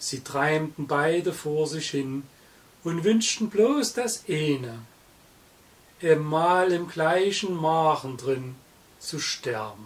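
A man's fairly high voice, very slow and lively in intonation, broken by long, frequent pauses. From Saxony, Germany. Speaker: narrator's father reciting a poem. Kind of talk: poetry reading. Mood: festive, humorous. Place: home room.

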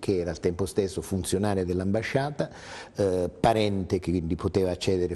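A man's very deep, low voice with a dark, mellow tone at a moderate pace. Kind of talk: interview answer. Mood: calm, explanatory. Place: studio.

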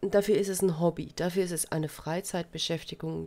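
A woman speaks in a monotone with flat intonation. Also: very clean recording, silent background. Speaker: crafting YouTuber. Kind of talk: casual vlog monologue.

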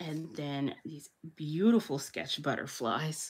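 A woman's voice sits very deep and low in pitch. She talks at a fairly slow pace. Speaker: planner content creator. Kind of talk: casual haul narration. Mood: enthusiastic, warm.

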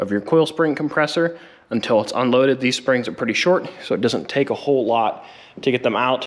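Ordinary pitch variation in a man's speech. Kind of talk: tutorial. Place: garage. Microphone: phone near.

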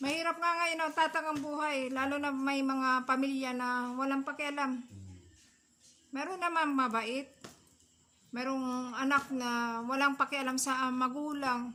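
A woman speaks in a raised, projected voice at a high pitch. Her intonation stays fairly even. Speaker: vlogger, solo parent caring for an elderly homeless man. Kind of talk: casual vlog chat. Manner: halting, many fillers.

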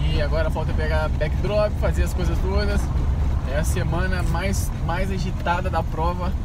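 With loud background noise, a man speaks with ordinary pitch variation in a dry sound with no echo. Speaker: race organizer vlogger. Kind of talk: casual vlog chat.

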